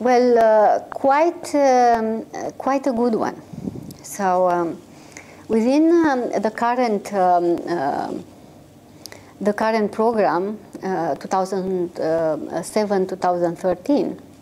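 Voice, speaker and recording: A woman talks at a very slow pace with long, frequent pauses. Her fairly high voice has a dark, mellow tone and very wide pitch swings. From Romania. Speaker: microfinance consultancy executive. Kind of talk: interview. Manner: halting, many fillers.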